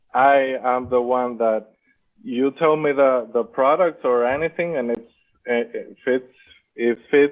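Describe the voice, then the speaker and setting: This man talks at a fairly slow pace, his medium pitch showing ordinary variation. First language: not English. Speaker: Amazon seller. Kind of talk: interview. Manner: halting.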